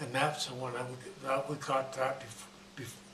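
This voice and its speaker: Noticeable background noise sits behind a man speaking at a moderate pace in a medium pitch. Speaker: WWII US Navy veteran. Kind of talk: interview answer.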